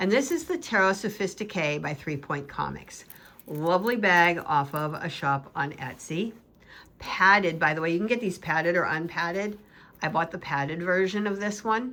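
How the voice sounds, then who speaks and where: An American-accented woman at a medium pitch and moderate pace, bright and sharp in tone, animated, with lively intonation, on a very clean recording with a silent background. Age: 60s. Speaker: tarot YouTuber. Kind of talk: casual show-and-tell video.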